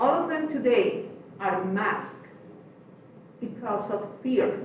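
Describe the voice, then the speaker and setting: Speaking at a very slow pace, a woman with a high pitch and very wide pitch swings is heard over noticeable background noise and audible room echo. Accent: non-native. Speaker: public commenter, immigrant community advocate. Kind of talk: public comment at city meeting.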